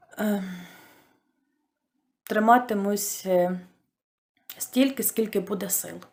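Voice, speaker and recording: Long, frequent pauses break up a woman's very slow speech. Her intonation stays fairly even. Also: medium pitch for a woman. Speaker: toy knitter. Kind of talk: casual talk to camera.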